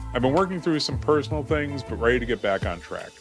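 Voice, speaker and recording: Music plays behind a man whose pitch swings very widely as he talks. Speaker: print and graphics business YouTuber. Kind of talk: casual talk to camera.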